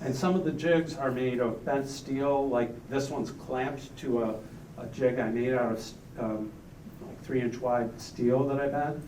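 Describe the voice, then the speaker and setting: At a moderate pace, the voice keeps a fairly even intonation, with audible room echo and noticeable background noise. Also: man, medium pitch for a man. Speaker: artist. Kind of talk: artist talk reading prepared remarks. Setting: gallery opening with audience. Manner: reading from notes, some hesitations.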